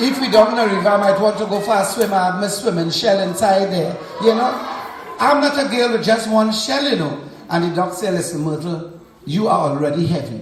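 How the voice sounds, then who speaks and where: Over noticeable background noise, a man with a Trinidadian accent talks at a fairly quick pace in a high voice. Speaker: storyteller. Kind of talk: children's story reading to a school audience.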